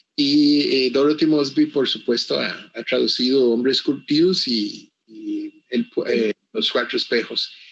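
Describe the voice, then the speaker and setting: A fairly slow-paced man's voice in an English accent. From Costa Rica, Caribbean coast (Limón). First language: English (speaking Spanish). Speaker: author. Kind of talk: interview. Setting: virtual book fair presentation. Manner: halting, with many repetitions.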